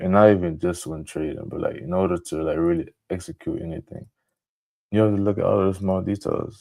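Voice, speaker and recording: Very deep and low in pitch, a man speaks at a fairly quick pace with a dark, mellow tone. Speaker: trading streamer. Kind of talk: live trading tutorial. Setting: live stream with screen share. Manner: halting, self-correcting; talking a bit louder.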